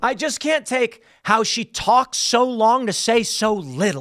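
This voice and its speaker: On a very clean recording with a silent background, a man speaks in an animated, bright and sharp tone, the sound dry and close with no echo. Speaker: political commentary youtuber. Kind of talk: reaction commentary. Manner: fast.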